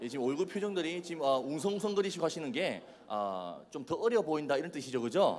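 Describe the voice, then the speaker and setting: A man with a Busan accent, in audible room echo. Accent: Busan dialect (Gyeongsang). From Busan, South Korea. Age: 20s. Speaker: youth evangelist. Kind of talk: sermon. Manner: animated, joking.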